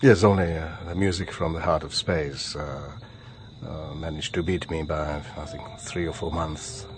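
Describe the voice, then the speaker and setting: Very deep, low-pitched speech from a man with a Czech accent, at a moderate pace with fairly even intonation, over noticeable background noise. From Bohemia, Czech Republic. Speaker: retired radio presenter and music producer. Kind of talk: radio interview. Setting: radio studio. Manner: frequent hesitations.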